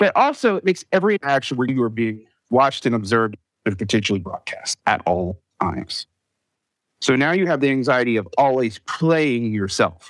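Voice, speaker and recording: A man with an American accent speaks at a medium pitch, his voice making very wide pitch swings. The sound is dry and close with no echo. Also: moderate pace. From US Southeast. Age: 40s. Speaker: public school teacher. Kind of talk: casual chat.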